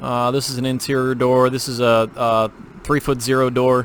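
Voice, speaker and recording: Over noticeable background noise, a man talks at medium pitch with fairly even intonation. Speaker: CAD tutorial creator. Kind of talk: tutorial. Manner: fast; casual with fillers.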